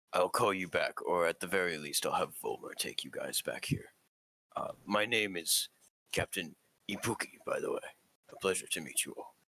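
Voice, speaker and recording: Using a put-on character voice that sounds raspy, a man talks at a moderate pace. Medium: actual play. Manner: measured, formal.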